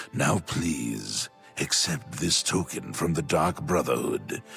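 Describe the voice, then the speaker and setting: Over clear music in the background, a man puts on a character voice with a very deep, low pitch. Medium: machinima. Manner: measured, velvety, theatrical.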